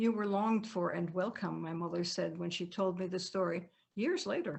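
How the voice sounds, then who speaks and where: Here a woman talks with a slight German accent at a medium pitch. Her pace is moderate and her pitch variation ordinary. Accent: faint German accent in American English. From Germany, Bavaria. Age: 80s+. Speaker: author. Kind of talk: reading aloud. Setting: video call.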